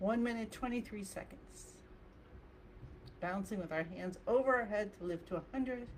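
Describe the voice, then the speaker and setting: A woman's somewhat breathy voice at medium pitch, with long, frequent pauses. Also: ordinary pitch variation, moderate pace. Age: 60s. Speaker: qigong instructor. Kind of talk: guided exercise class.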